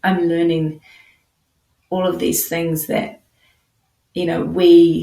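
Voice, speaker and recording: Speaking with a New Zealand accent, a woman talks at a very slow pace with long, frequent pauses. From New Zealand, Nelson. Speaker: counselor. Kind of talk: podcast interview.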